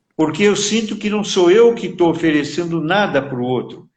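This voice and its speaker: A man's high-pitched voice with lively intonation. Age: 80s+. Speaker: psychologist. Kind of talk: interview. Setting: live stream.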